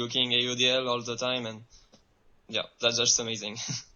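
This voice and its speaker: Monotone, flat intonation from a man in a French accent, medium pitch and moderate pace. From France. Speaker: professional ultimate frisbee player. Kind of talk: remote interview. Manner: halting.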